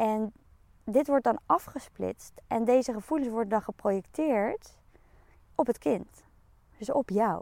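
A woman speaks in an unremarkable speaking voice, fairly high-pitched with lively intonation. The sound is dry and close with no echo, on a very clean recording with a silent background. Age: 30s. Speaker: podcast host, coach. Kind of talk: solo podcast monologue.

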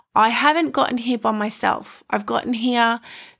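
A woman with an Australian accent and a warm tone, in a very clean recording with a silent background. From rural Queensland, Australia (Stanthorpe). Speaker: podcast host and life coach. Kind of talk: personal monologue. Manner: warm, laughs often.

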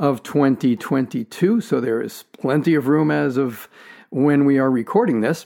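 On a very clean recording with a silent background, a man with a plain, everyday voice and a fairly high pitch speaks at a fairly slow pace. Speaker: podcast host. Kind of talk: interview conversation.

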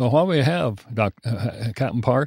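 A man in a Kentucky accent, dry and close with no echo, on a very clean recording with a silent background. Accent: Kentucky rural Southern US. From Kentucky, rural. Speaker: war veteran. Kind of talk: testimony. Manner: halting, many fillers.

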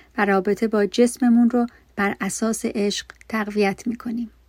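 The intonation here stays fairly even. It comes from an unremarkable speaking voice. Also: woman. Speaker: meditation guide. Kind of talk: guided meditation. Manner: slow, soft, soothing; calm, gentle, with pauses between instructions.

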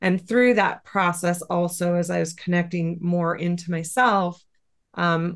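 Speaking in a flat monotone at a fairly slow pace, a woman with a fairly low voice talks with an American accent. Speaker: Reiki teacher and animal communicator. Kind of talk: interview conversation.

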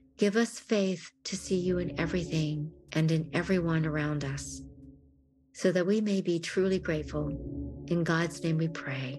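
Over music in the background, a woman speaks in a solemn tone at a fairly low pitch with ordinary pitch variation. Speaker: worship elder leading prayer. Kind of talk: guided prayer of confession; fervent prayer. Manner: slow, solemn, heartfelt; pleading, fervent.

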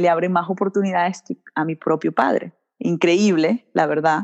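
With a Venezuelan accent, a woman speaks at a medium pitch with ordinary pitch variation, her sound dry and close with no echo. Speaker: dental hygienist. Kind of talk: interview. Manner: warm, enthusiastic.

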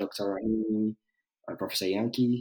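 With a Ghanaian accent, a man talks at a fairly slow pace in a dark, mellow tone and a medium pitch. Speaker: test engineer, recent graduate. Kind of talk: casual interview conversation. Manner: hesitant, filler words.

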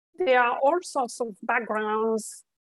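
A woman speaks with a French accent in a high pitch and fairly even intonation. The sound is dry and close, with no echo. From France. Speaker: recruiter. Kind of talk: interview.

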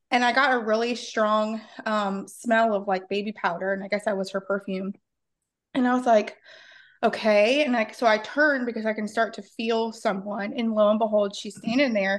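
A woman with a normal speaking voice, fairly high pitch and fairly even intonation at a moderate pace, over a quiet background. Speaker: paranormal investigator. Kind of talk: casual interview chat.

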